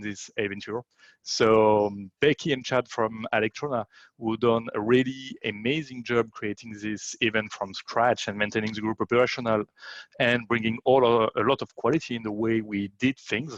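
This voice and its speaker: Against a quiet background, a man with a French accent and medium pitch speaks at a moderate pace with fairly even intonation in a dry, close sound with no echo. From France. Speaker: event emcee. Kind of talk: conference introduction. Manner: halting with many fillers.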